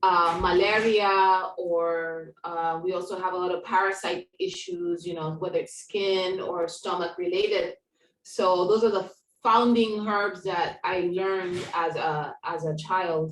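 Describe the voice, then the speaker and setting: Flat and monotone, a woman with medium pitch speaks at a fairly slow pace. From Kenya. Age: 40s. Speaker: herbalist. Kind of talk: podcast interview.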